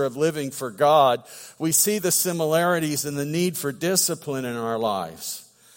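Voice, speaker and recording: A man using a plain, everyday voice talks at a moderate pace with a fairly high pitch. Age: 50s. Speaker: pastor. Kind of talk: sermon.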